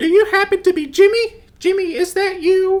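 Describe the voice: A female-sounding voice uses a put-on character voice at an extremely high pitch.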